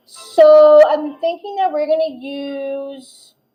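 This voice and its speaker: A woman is speaking. Music is audible in the background. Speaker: tarot reader. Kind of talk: live tarot reading. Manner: fast; halting, self-correcting.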